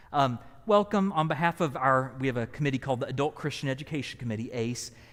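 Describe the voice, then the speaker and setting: A man with a Southern US accent, medium pitch, lively intonation and a fairly quick pace on a very clean recording with a silent background. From US South. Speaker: pastor. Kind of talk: event introduction. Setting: church hall, live streamed.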